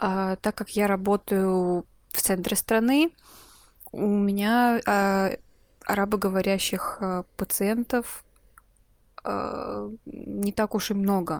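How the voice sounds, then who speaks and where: A woman speaks at a very slow pace with long, frequent pauses and fairly even intonation, in a very clean recording with a silent background and a dry, close sound with no echo. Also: medium pitch for a woman. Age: 20s. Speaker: medical resident. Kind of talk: interview. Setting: voice messages.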